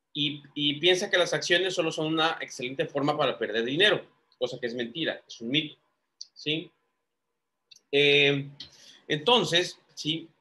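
At a fairly slow pace with long, frequent pauses, a man speaks in a bright, sharp tone at a fairly high pitch with ordinary variation. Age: 30s. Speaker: lawyer and investing YouTuber. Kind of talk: screen-share tutorial. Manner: halting, many fillers.

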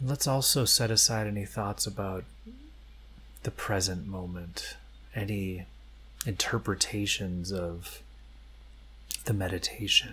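With vocal fry and a gentle, soothing tone, a man speaks at a fairly low pitch and a fairly slow pace, leaving long, frequent pauses. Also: ordinary pitch variation. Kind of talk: guided meditation. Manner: slow, calm, soft-paced with long pauses; gentle, soothing, repetitive.

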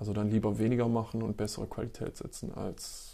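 A man's dark, mellow voice with vocal fry. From East Belgium (German-speaking). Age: 30s. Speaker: photographer and filmmaker. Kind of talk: interview. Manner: hesitant with many fillers.

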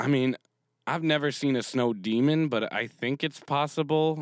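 A man with a Canadian accent has a plain, everyday voice, medium in pitch with fairly even intonation, on a very clean, dry, close recording with a silent background and no echo. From Canada. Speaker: podcast host. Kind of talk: casual monologue.

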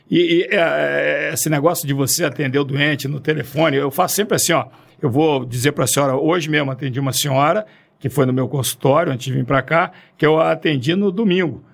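Pitched fairly high, a man talks with ordinary pitch variation, the recording very clean and the background silent. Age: 60s. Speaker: forensic doctor and orthopedic surgeon. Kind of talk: podcast interview.

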